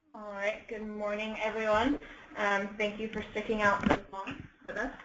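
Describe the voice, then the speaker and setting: Noticeable background noise sits under a woman's fairly high, monotone, flat voice, which moves at a moderate pace with big swings in loudness. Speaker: education agency staff presenter. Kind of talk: webinar presentation. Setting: online webinar.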